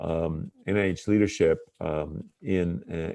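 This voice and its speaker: The man's pitch is very deep and low. It shows ordinary pitch variation. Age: 60s. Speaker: public health official and physician. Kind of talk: interview. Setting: remote call from home. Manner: hesitant, many filler words.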